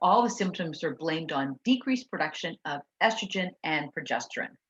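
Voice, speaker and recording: A somewhat breathy woman's voice, fairly low in pitch, with very wide pitch swings. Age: 60s. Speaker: nutritionist. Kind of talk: webinar presentation. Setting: live webinar. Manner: fast.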